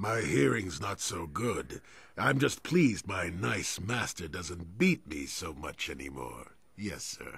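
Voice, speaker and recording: Putting on a character voice, a man speaks at a very deep, low pitch. He keeps a fairly slow pace. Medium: video game. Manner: meek, simple.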